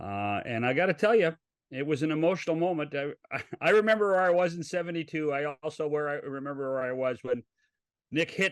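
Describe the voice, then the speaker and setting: A man with a Canadian accent speaks in a plain, everyday voice at a fairly high pitch. His intonation is lively, with a dry, close sound with no echo. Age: 60s. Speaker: podcast host. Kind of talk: interview.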